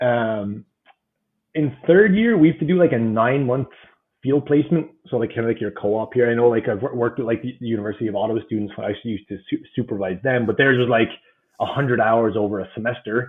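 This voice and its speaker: His speech races along at a very fast pace. This man's voice has a medium pitch. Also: ordinary pitch variation. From southeast Ireland. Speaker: professor and fitness coach. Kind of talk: podcast interview.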